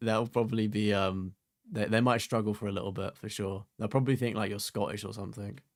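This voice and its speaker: A man with an English accent, fairly low in pitch, talking very fast with fairly even intonation, on a very clean recording with a silent background. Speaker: gaming streamer. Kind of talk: live stream chat. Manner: casual, filler-heavy.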